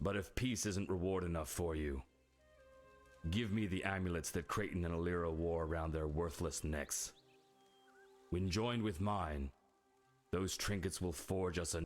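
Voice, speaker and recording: In a put-on character voice, the speaker moves at a moderate pace with ordinary pitch variation and long, frequent pauses. Faint music plays in the background. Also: man, very deep, low pitch for a man. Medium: video game. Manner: gloating, self-satisfied.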